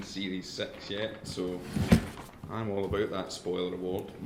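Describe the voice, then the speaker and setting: A man talks amid noticeable background noise, with the room's echo audible. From northern England. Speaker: academic. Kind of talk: lecture.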